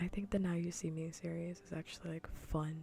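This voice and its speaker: A soft-spoken voice at a moderate pace, with music in the background. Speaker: vtuber streamer. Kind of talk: casual livestream chat while gaming.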